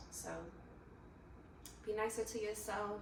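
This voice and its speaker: There is noticeable background noise and audible room echo as a woman talks. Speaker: lifestyle vlogger. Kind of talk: casual motivational talk to camera.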